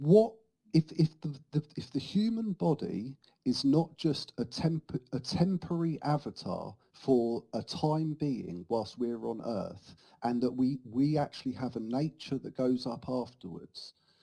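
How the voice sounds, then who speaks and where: A man speaks at a medium pitch and a fairly slow pace, his somewhat breathy voice dark and mellow in tone, with lively intonation and a dry, close sound free of echo. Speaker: oneness debater. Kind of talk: heated debate. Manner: halting.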